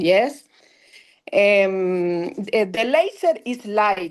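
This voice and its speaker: Lively intonation carries this speaker's words in a Spanish accent. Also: woman. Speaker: dentist, laser specialist. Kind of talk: lecture. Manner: halting.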